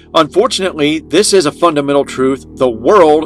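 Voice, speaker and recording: Over music in the background, a man talks at a moderate pace and a fairly high pitch. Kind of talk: infomercial political pitch.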